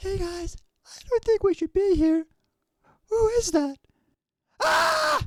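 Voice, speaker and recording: A quiet, whispering put-on character voice at a fairly slow pace, with long, frequent pauses. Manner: whisper that bursts into a shout.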